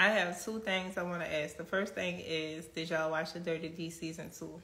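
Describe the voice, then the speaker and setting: Audible room echo surrounds a woman with a Louisiana accent. She talks at a fairly quick pace in a fairly low pitch and a monotone, flat intonation. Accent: Louisiana accent, noticeable. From Kenner, Louisiana. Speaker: actress and livestream host. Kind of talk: live stream chat reading comments.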